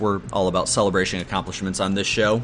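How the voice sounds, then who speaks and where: Noticeable background noise accompanies a man talking at a very fast pace with a fairly low pitch. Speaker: sports podcast host. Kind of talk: solo casual sports talk.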